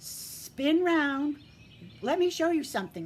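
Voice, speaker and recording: A woman uses a put-on character voice, high in pitch, at a fairly slow pace. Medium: read story. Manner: sly, cheeky.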